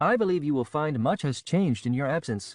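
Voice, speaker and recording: A man puts on a character voice with a fairly high pitch. He moves at a fairly quick pace. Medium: read story. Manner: formal, precise.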